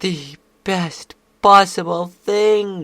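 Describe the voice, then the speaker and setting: The voice is a put-on character. Its pitch is in the middle range. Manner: wailing, melodramatic.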